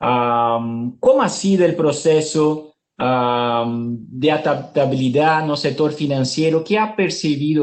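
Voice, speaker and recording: Fairly high male voice in a Brazilian accent, with ordinary pitch variation. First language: Portuguese (speaking Spanish). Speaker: webinar moderator. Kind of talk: panel discussion.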